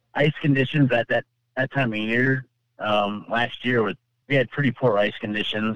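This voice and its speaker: A man's plain, everyday voice with an American accent, at a moderate pace with ordinary pitch variation. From California. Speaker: ice angler. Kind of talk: personal story interview.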